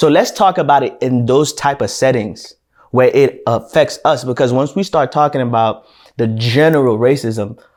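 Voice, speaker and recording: In a very clean recording with a silent background, a man speaks at a fairly high pitch and a moderate pace with ordinary pitch variation. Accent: Haitian. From Haiti. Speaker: podcast co-host. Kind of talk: casual discussion.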